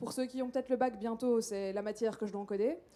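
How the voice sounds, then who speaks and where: A woman speaks with a fairly high pitch and a dark, mellow tone. Her pitch varies in an ordinary way. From Belgium. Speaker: postdoctoral researcher. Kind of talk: short public lecture.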